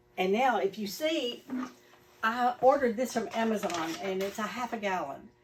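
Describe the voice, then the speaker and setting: There is noticeable background noise behind this woman. Her pitch is medium, her intonation is lively, and her pace is moderate. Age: 60s. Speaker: satisfied customer. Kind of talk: interview. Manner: animated.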